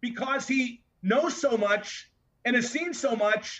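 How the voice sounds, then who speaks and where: A man uses a raised, projected voice at an extremely high pitch. His tone is bright and sharp, and his intonation stays fairly even. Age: 60s. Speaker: wrestling podcast co-host. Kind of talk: casual chat.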